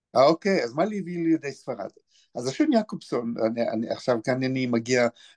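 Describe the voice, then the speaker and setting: Speaking with an unremarkable speaking voice, a man talks at a medium pitch and a moderate pace. His intonation is lively, and the sound is dry and close with no echo. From Israel, Be'er Sheva. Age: 60s. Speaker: author and historian. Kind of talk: interview.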